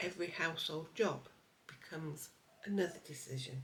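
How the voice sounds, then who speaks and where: Somewhat breathy, a woman with a very deep, low pitch speaks at a moderate pace with lively intonation. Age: 60s. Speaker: lifestyle vlogger. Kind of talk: personal vlog narration.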